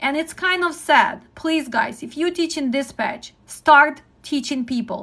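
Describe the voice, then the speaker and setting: In a Ukrainian accent, the speaker uses a raised, projected voice with a bright, sharp tone, lively intonation and a fairly slow pace. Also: woman. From Ukraine. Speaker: trucking dispatch instructor. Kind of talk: live-stream teaching talk. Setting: live stream. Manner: direct.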